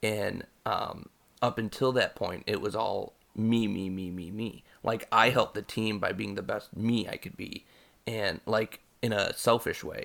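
A man at a fairly slow pace on a very clean recording with a silent background. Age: 30s. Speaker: podcast host and English teacher. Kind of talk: casual chat.

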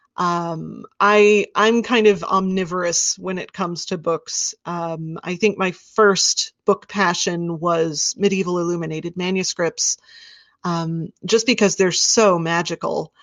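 A woman at a medium pitch, fairly slow in pace, with fairly even intonation. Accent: American. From US Midwest, Wichita, Kansas. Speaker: rare book seller and former librarian. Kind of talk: interview, casual chat.

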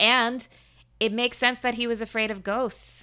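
Animated and bright with a sharp tone, a woman with a fairly high pitch speaks at a moderate pace. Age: 30s. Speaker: podcast host. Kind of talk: casual interview. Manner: animated, laughing.

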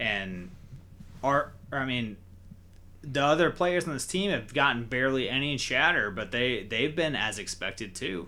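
A man is speaking with a bright, sharp tone. His pitch sits in the medium range. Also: lively intonation, moderate pace. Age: 20s. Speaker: sports podcast host. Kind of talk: casual chat.

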